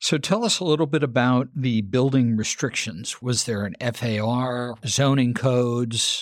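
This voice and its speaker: In a very clean recording with a silent background, a man of medium pitch uses a normal speaking voice at a fairly slow pace, with ordinary pitch variation and hardly any pauses. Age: 50s. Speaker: podcast host and architect. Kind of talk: interview.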